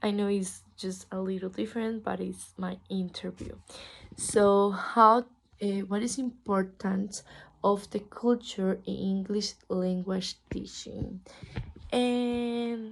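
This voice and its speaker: In a Spanish accent, the speaker delivers the words at a very slow pace with monotone, flat intonation. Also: woman. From Costa Rica. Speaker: English language student. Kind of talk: class assignment interview. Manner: halting.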